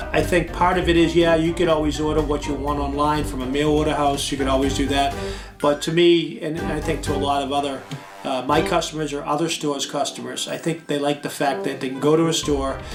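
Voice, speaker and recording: A man is speaking with audible echo in the room. Music plays in the background. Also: fairly high pitch for a man, fairly even intonation, fairly quick pace. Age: 60s. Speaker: comic book store owner. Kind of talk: interview. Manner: hesitant, many fillers.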